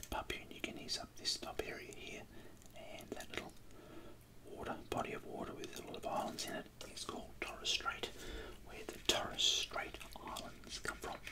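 A quiet whisper comes through loud background noise, with long, frequent pauses. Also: moderate pace. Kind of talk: tutorial. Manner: quiet ASMR whisper. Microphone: phone near.

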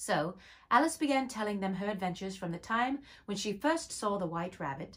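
An unforced reading voice with lively intonation

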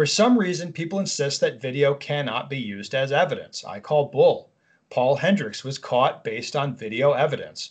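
Against a quiet background, a man speaks at a moderate pace. His voice is somewhat breathy, with lively intonation. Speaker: podcast co-host. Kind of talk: reading an email aloud with commentary. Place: home room. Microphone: video call.

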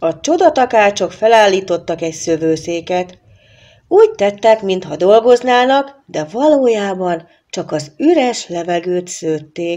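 The voice has a dark, mellow tone and lively intonation, moving at a very slow pace over a quiet background. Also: woman, medium pitch for a woman. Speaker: storybook narrator. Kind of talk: filmstrip storybook narration, scripted fairy tale read aloud. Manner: expressive storyteller, measured pace, shifting tone for characters; formal, old-fashioned diction.

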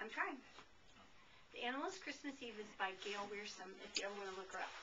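Lively intonation carries a woman's fairly high-pitched voice. Noticeable background noise runs underneath. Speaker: grandmother. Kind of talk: children's book read-aloud. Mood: warm, expressive, playful. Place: home room.

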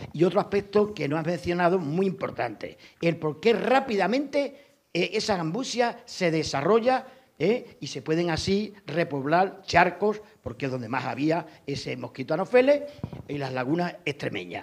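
Against a quiet background, a man speaks at a fairly slow pace in a high pitch with very wide pitch swings. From Extremadura, Spain. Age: 60s. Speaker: audience member. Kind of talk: audience comment. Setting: lecture hall with audience. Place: hall.

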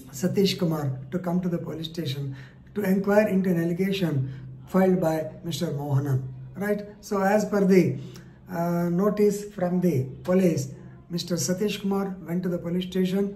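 A man talks at a moderate pace in a high pitch with fairly even intonation, with audible room echo and light background noise. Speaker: legal commentator. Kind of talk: explainer on a court case. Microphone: phone near.

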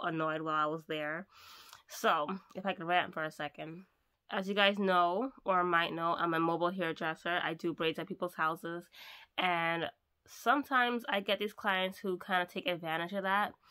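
Against a quiet background, a woman with a bright, sharp tone and a fairly low pitch speaks at a moderate pace with ordinary pitch variation. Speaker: mobile hairdresser vlogger. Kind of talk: casual vlog chat. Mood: annoyed ranting. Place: home room. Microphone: phone near.

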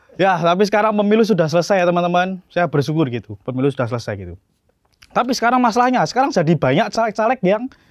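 Speaking at a high pitch, a man talks very fast with very wide pitch swings. The sound is dry with no echo, and the background is quiet. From Solo, Central Java; Central Java, Indonesia. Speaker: stand-up comedian. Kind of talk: stand-up. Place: stage. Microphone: handheld.

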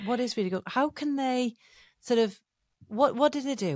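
A woman with an English accent at a moderate pace, dry sound with no echo, quiet background. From England. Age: 50s. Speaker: podcast host, entrepreneur and coach; podcast host, coach. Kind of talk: interview conversation. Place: studio. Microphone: studio mic.

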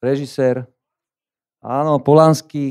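The man's voice sits fairly high in pitch, with a dark, mellow tone. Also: quiet background. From Slovakia. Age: 50s. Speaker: gallery owner and fine art printer. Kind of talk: conference talk. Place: hall. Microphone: handheld.

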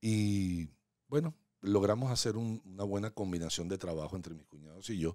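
A man with a dark, mellow tone and fairly low pitch talks at a moderate pace, showing ordinary pitch variation and big swings in loudness. The sound is dry with no echo, over a quiet background. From Venezuela. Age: 60s. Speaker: real estate agent; podcast guest. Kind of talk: casual interview. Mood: warm, reflective storytelling. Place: studio. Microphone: studio mic.

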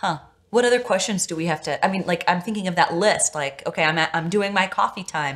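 A woman talks at a very fast pace in a fairly low pitch. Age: 30s. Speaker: podcast host. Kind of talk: interview conversation. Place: studio.

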